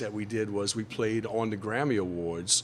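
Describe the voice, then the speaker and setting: A man is speaking. He has a New Orleans accent. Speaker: musician. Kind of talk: interview answer.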